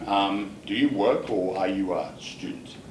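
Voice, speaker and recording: With an Australian accent, a man speaks at a fairly low pitch with ordinary pitch variation against noticeable background noise. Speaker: IELTS examiner. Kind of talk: mock speaking test interview questions.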